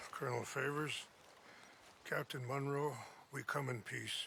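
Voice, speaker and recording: The raspy, put-on character voice stays in a monotone, flat intonation. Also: man, fairly high pitch for a man, moderate pace. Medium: video game.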